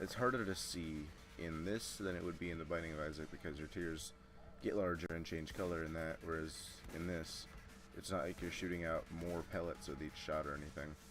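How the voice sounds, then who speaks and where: Music plays in the background as a man with a very deep, low voice speaks at a fairly quick pace with fairly even intonation and audible room echo. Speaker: gaming commentator. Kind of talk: let's play commentary. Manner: casual, with frequent fillers and restarts.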